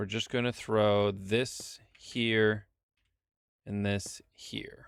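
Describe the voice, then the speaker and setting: A man's fairly low voice, very slow and monotone with flat intonation, on a very clean recording over a silent background. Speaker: streamer. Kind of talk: casual gaming livestream chat. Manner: halting, many repetitions and fillers.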